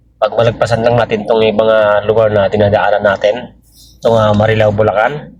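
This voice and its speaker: A man with a fairly low pitch speaks at a moderate pace in a somewhat breathy voice. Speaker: vlogger and driver. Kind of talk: driving vlog narration. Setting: in a vehicle. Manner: halting, many fillers.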